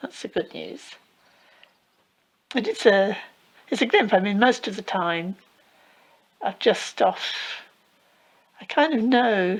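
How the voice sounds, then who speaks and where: A woman with an English accent speaks fairly slowly at a fairly high pitch, with long, frequent pauses. Her loudness swings widely while her pitch varies in an ordinary way. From England. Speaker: Buddhist teacher. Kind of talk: dharma talk Q&A.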